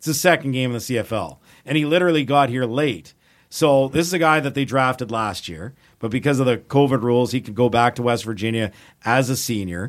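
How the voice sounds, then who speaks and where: With a Canadian accent, a man uses an unremarkable speaking voice at medium pitch and a fairly quick pace. Pitch variation is ordinary, on a very clean recording with a silent background. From Edmonton, Alberta, Canada. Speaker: football play-by-play announcer. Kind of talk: casual chat.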